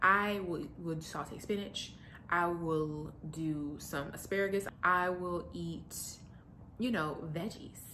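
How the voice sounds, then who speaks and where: A woman's bright, sharp tone at a fairly low pitch, with audible room echo. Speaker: lifestyle vlogger. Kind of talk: casual vlog monologue. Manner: fast; animated.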